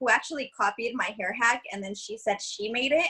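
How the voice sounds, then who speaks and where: A woman with a Californian accent, lively intonation and a moderate pace. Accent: California. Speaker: social media content creator. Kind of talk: casual chat. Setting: podcast recording. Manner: halting, many fillers.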